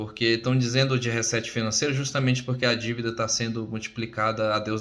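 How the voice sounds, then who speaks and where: This man's voice has a bright, sharp tone at a medium pitch. He speaks at a fairly quick pace with monotone, flat intonation. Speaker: crypto presenter / job candidate. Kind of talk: informal presentation. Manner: fast.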